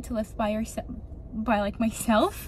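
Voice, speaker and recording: Light background noise accompanies a woman speaking at a moderate pace, the sound dry with no echo. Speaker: lifestyle vlogger. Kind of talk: casual vlog chat. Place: car. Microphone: phone near.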